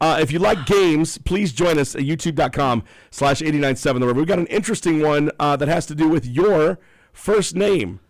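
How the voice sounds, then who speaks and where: In a very clean recording with a silent background, a man's speech runs fairly quickly. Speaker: radio host. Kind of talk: morning radio show chat. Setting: radio studio, streamed live on YouTube. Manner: casual, halting with fillers.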